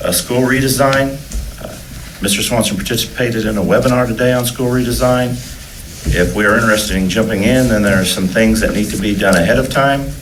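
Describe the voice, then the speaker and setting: A man's medium-pitched, fairly quick speech with ordinary pitch variation, amid noticeable background noise and audible room echo. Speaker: school district administrator. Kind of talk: board meeting report. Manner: halting, many fillers.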